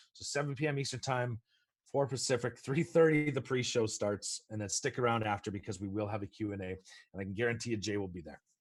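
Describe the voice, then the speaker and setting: A man speaks very fast in a somewhat breathy voice at a medium pitch, with ordinary pitch variation and big swings in loudness. The recording is very clean, with a silent background. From Canada. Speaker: film producer. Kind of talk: interview.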